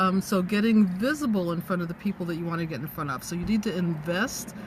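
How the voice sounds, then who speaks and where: A woman talks at a medium pitch with ordinary pitch variation. It is a normal speaking voice. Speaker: business coach and livestreamer. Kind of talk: live-stream talk to viewers. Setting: in a parked car.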